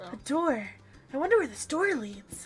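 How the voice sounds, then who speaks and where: A female-sounding put-on character voice, high in pitch with very wide pitch swings, moves at a moderate pace. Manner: earnest, wondering.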